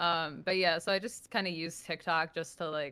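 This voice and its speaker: A woman speaks with a New York accent and fairly even intonation. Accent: heavy New York. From New Jersey, near New York City. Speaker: social media personality. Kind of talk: interview. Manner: casual, filler-heavy.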